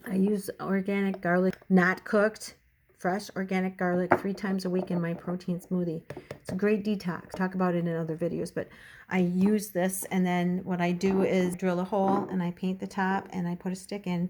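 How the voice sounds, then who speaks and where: At a moderate pace, a woman talks in a medium pitch with monotone, flat intonation. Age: 60s. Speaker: lifestyle video blogger. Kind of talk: casual tutorial. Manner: chatty, conversational.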